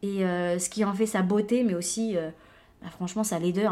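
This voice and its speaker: A woman talks in an unremarkable speaking voice at a medium pitch, with a moderate pace and ordinary pitch variation. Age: 20s. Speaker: podcast host. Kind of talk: casual monologue. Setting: home recording at computer.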